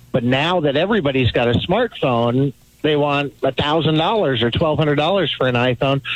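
A man's fairly high-pitched voice at a fairly quick pace, over noticeable background noise. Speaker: caller. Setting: phone call.

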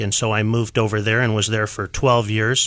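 A man speaks with a Midwestern American accent in a bright, sharp tone and monotone, flat intonation. The recording is very clean, with a silent background. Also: dry, close sound with no echo. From Iowa, US Midwest. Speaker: patent attorney. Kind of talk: interview. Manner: frequent filler words.

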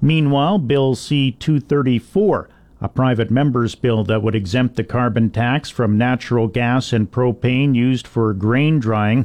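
A man with a Canadian accent and a plain, everyday voice speaks at a fairly slow pace, medium in pitch, with ordinary pitch variation. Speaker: farm radio host. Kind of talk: radio news reading. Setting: radio studio.

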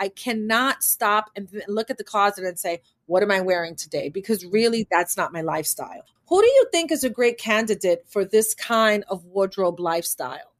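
A woman with an American accent talks at a moderate pace and a fairly high pitch in an ordinary speaking voice. The sound is dry and close, with no echo. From New York City (Manhattan). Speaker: podcast host and wardrobe stylist. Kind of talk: casual interview chat.

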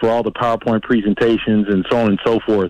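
A man delivers his words fairly quickly in a monotone, flat intonation. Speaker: football coach and former player. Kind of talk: radio interview about sports. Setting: phone call.

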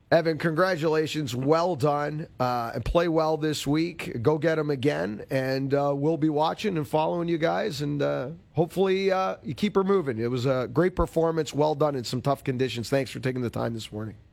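At a moderate pace, a man speaks in an unremarkable speaking voice, fairly high in pitch with ordinary pitch variation. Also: hardly any pauses. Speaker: radio host. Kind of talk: radio interview.

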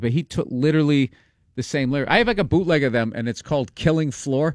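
In a dry, close recording with no echo, a man speaks very fast with lively intonation. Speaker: comedian and actor. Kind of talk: casual chat.

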